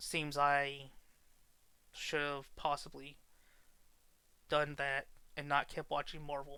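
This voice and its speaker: A man's fairly high voice at a very slow pace, flat and monotone, broken by long, frequent pauses. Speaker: podcast host. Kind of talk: casual monologue. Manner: halting, repeats words.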